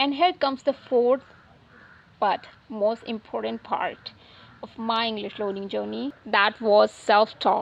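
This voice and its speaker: A woman with a fairly high pitch, a non-native accent and a fairly slow pace. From India, Uttar Pradesh. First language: not English. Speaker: English learning YouTuber. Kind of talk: casual talk to camera.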